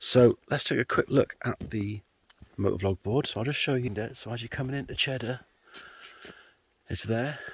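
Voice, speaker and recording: Speaking at a moderate pace with medium pitch and ordinary pitch variation, a man sounds somewhat breathy, his dry, close sound carrying no echo and broken by long, frequent pauses. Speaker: motorcycle vlogger. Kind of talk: casual vlog. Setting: outdoors.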